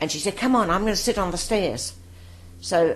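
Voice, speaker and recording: Very wide swings in pitch and vocal fry in a female voice. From London, north-west (West Hampstead). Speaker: war veteran. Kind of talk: oral history interview.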